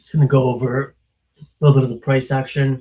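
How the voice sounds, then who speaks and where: A man's medium-pitched, somewhat breathy voice with a dark, mellow tone at a moderate pace. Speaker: trading streamer. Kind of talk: live stream market commentary. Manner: hesitant, many fillers.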